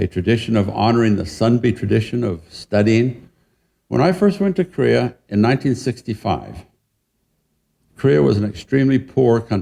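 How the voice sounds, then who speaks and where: A man with a Western US accent speaks at a moderate pace and medium pitch, his tone dark and mellow with vocal fry, lively intonation and very even loudness, against a quiet background. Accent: American, Western US. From Utah, near Salt Lake City. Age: 70s. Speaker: professor. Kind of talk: lecture. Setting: museum talk with audience.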